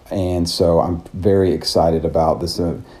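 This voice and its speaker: Very deep, low male voice, fairly even in intonation and moderate in pace, against noticeable background noise. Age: 30s. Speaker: business owner and aspiring hiker. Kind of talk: reflective solo audio diary. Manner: hesitant, filler-heavy.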